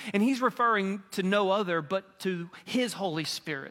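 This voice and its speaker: This man speaks with a Southern US accent at a high pitch with ordinary pitch variation. His tone is bright and sharp. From Mississippi. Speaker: pastor candidate. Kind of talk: sermon. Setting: church. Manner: warm, conversational preacher, building to earnest invitation.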